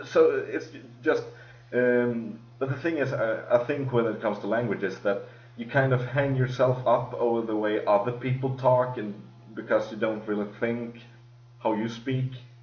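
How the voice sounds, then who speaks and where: A man with a strong Swedish accent, monotone and flat in intonation, at a moderate pace, with audible room echo. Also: medium pitch for a man. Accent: heavy Swedish. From Sweden. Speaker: podcast host. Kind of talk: casual chat. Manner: halting.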